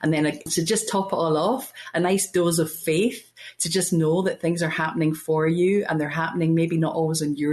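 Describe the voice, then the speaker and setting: A woman speaks with a Glasgow accent. Her pace is fairly quick. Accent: Scottish, Glasgow. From Scotland, Glasgow. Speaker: podcast guest, spiritual speaker. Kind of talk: interview conversation. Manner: fast.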